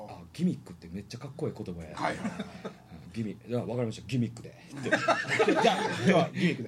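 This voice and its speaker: At a fairly quick pace, a man speaks at a medium pitch with very wide pitch swings and big swings in loudness. Noticeable background noise runs underneath. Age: 30s. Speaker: performer with a distinctive voice. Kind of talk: casual chat. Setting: live internet stream.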